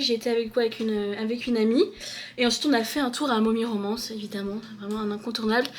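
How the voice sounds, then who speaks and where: A woman's fairly high voice, fairly quick and fairly even in intonation, over noticeable background noise. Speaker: book vlogger. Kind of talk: casual vlog talk. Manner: hesitant, many fillers; loud when passionate.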